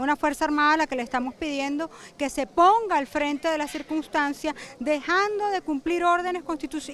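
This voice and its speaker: A woman's high voice at a fairly quick pace with ordinary pitch variation, in a dry sound with no echo and light background noise. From Venezuela. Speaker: opposition politician. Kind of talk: press statement to reporters. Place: garden. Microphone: handheld.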